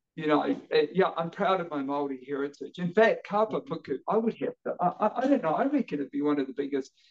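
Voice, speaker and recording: A man at a very fast pace with hardly any pauses, in a New Zealand accent, his high pitch swinging very widely. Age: 50s. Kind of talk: interview conversation. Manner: halting, repeats words.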